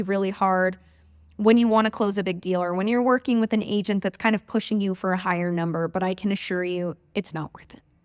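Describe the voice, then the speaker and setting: A woman talks at a fairly quick pace and a medium pitch with fairly even intonation. The recording is very clean, dry and close, with a silent background and no echo. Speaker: podcast host. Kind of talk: solo podcast monologue. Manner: fast.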